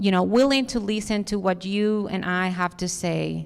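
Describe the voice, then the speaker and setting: A woman speaks with a strong Dominican accent at a medium pitch. The recording is very clean, with a silent background. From Dominican Republic. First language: Spanish. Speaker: architect, conference speaker. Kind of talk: conference talk with audience Q&A.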